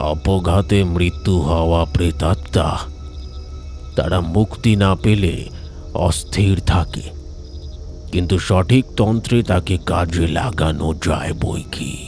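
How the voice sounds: A man uses a put-on character voice, booming and resonant. He speaks very slowly, with clear background noise.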